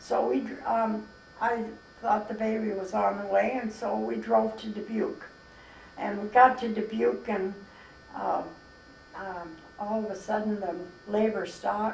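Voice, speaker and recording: Speaking fairly slowly with long, frequent pauses, a woman with an American accent keeps a fairly high pitch and fairly even intonation against noticeable background noise. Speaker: grandmother, mother of eight. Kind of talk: interview answer. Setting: camera microphone, home recording.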